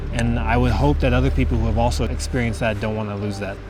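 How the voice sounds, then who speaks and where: A man with an American accent, music in the background and audible room echo. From Colorado. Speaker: wildlife biologist and comedian. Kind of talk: casual documentary interview.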